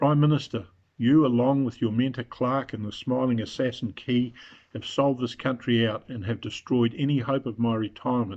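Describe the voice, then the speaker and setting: At a moderate pace, a man talks in a New Zealand accent. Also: medium pitch for a man, fairly even intonation. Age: 70s. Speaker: retiree making a political video. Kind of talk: open letter address. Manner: formal.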